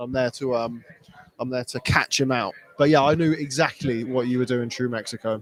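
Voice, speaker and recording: Recorded dry and close with no echo, a man with a British accent talks at a very fast pace. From Britain. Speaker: boxing journalist. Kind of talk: live stream chat answering viewer comments. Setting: live stream from Las Vegas. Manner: casual with many fillers.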